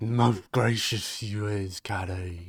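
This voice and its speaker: In a put-on character voice, a man speaks with a fairly low pitch on a very clean recording with a silent background. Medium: actual play. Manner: stuttering, conspiratorial.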